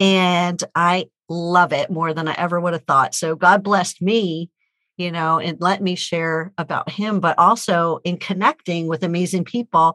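A woman with a bright, sharp tone speaks at a fairly slow pace, her pitch fairly low and her intonation fairly even. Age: 50s. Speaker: author and speaker. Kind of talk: casual chat.

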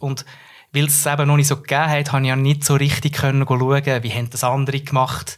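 This man talks very fast in a fairly high, somewhat breathy voice. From central Switzerland, Nidwalden. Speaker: communications professional. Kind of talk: casual interview.

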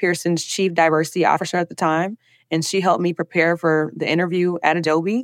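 A woman speaks at a fairly low pitch. The recording is very clean with a silent background, and the sound is dry and close with no echo. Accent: Southern US. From US South, Alabama. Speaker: diversity and inclusion specialist. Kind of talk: interview.

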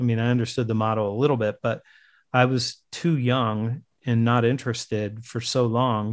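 Heard over a quiet background, a man has a plain, everyday voice. His pitch is medium, with fairly even intonation. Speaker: sales author and speaker. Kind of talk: interview. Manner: casual.

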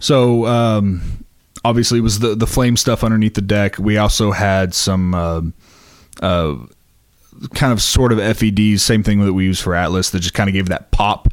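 A man with a normal speaking voice talks in a fairly low pitch at a moderate pace with fairly even intonation. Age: 20s. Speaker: pyrotechnics crew member for a touring rock band. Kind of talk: casual interview chat.

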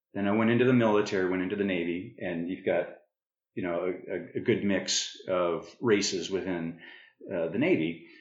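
With an American accent, a man with a very deep, low pitch talks at a moderate pace and fairly even intonation, and audible room echo can be heard. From northern Arizona, US. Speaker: podcast host. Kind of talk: casual interview conversation.

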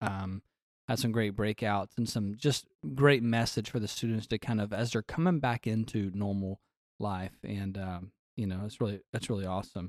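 A man with an unremarkable speaking voice, fairly low in pitch, at a moderate pace with fairly even intonation, recorded very cleanly against a silent background in a dry, close sound with no echo. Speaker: podcast host. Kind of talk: casual chat.

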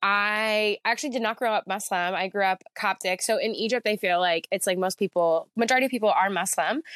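A normal speaking voice with an American accent moves at a fairly quick pace with ordinary pitch variation. The sound is dry and close with no echo, and the loudness stays very even. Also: woman, medium pitch for a woman. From central New Jersey, US. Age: 30s. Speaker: muralist and street artist. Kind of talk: casual interview chat. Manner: casual, filler-heavy, reflective.

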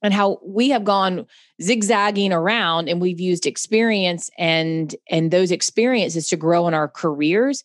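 Against a quiet background, a woman at a medium pitch speaks at a moderate pace with ordinary pitch variation and very even loudness in an ordinary speaking voice, the sound dry and close with no echo. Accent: American. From US South, Charlotte, North Carolina. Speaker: computer science educator. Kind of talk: casual interview chat.

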